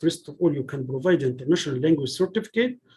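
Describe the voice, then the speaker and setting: A man with an Arabic accent talks at a very fast pace and a fairly high pitch. His tone is dark and mellow, his intonation lively. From Egypt. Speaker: PhD student giving a talk. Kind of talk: lecture. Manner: halting, with frequent restarts.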